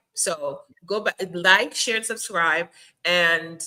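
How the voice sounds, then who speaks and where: In a Jamaican accent, the speaker has a bright, sharp, animated tone with ordinary pitch variation. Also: woman. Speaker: podcast host. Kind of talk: casual interview chat.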